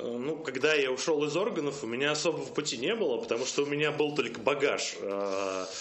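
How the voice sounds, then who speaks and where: Lively intonation from a man at a moderate pace, with noticeable background noise and audible room echo. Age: 30s. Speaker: marketing agency executive. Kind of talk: interview.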